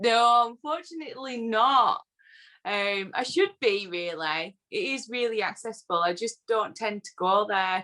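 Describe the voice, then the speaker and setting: With a northern English accent, a woman speaks fairly slowly in a fairly high, bright, sharp tone with lively intonation. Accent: northern English, often taken for Yorkshire. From northern England (Lancashire, born Yorkshire border). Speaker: whisky social media personality. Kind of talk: casual interview chat.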